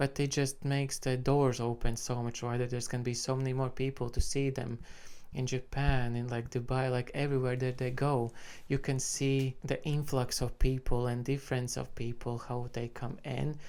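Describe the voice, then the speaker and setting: Someone with a Latvian accent talks at a moderate pace in a very clean recording with a silent background. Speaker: music reaction YouTuber. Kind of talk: casual commentary to camera. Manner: casual, filler-heavy.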